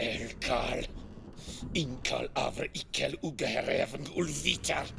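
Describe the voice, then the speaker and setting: Put-on character voice from a man, fairly slow in pace, clear background noise behind it. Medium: short film.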